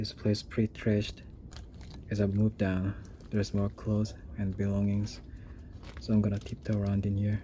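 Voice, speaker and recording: A quiet, somewhat breathy man with a fairly low pitch and a dark, mellow tone keeps a fairly even intonation and takes long, frequent pauses. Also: moderate pace. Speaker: urban explorer video creator. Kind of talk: exploration vlog narration. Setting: indoors in an abandoned jail. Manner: quiet, low voice.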